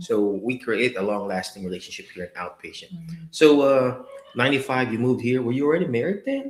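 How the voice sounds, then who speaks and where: A man speaks fairly quickly in a plain, everyday voice with lively intonation. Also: medium pitch for a man. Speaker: physical therapist. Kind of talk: interview host.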